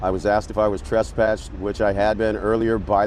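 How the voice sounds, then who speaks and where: Here is a plain, everyday voice from a man at a fairly low pitch. He moves at a fairly quick pace. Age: 60s. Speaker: homeless man. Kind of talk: street interview.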